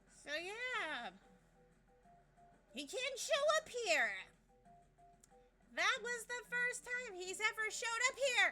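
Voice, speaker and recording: With music in the background, the speaker has an upbeat tone and lively intonation while talking at a very slow pace. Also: woman, extremely high pitch for a woman. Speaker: gaming streamer. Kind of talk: let's play commentary.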